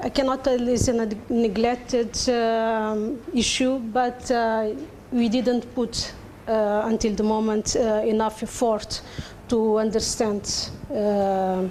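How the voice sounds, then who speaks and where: A woman with a Portuguese accent, fairly high pitch, very slow pace, monotone and flat intonation, very even loudness, and audible room echo. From Cape Verde. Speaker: academic discussant. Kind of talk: conference panel comment. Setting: conference panel session. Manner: halting, many fillers.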